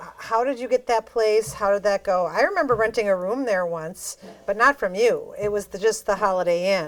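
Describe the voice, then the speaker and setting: A woman with a Wisconsin accent is heard in a very clean recording with a silent background. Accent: Upper Midwest (Wisconsin). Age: 60s. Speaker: podcast host. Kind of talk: casual interview.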